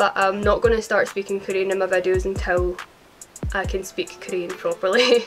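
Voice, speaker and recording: Against music in the background, a woman with a Scottish accent talks at a moderate pace. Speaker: YouTuber and singer. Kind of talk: casual Q&A talk to camera.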